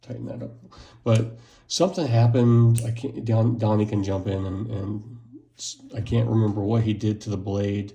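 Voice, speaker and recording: A dark, mellow, somewhat breathy mumble at a moderate pace, with fairly even intonation. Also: man, medium pitch for a man. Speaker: knife reviewer. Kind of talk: unboxing video. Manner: mumbling.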